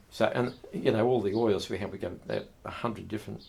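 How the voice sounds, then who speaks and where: Fairly low in pitch, a man speaks with fairly even intonation and vocal fry. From Herefordshire, England. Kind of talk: oral history interview answer. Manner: casual, reminiscing.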